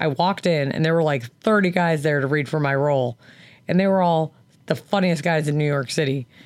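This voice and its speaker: A woman talks at a very fast pace in a husky, fairly low voice. Pitch variation is ordinary, and the recording is very clean with a silent background. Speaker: podcast co-host. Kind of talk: casual chat. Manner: animated.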